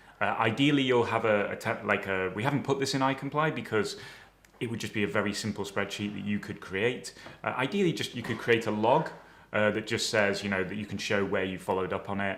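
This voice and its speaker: A man with a British accent talks at a very fast pace. His pitch is fairly low with ordinary variation. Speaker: dental compliance trainer. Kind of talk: webinar presentation. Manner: hesitant, many fillers.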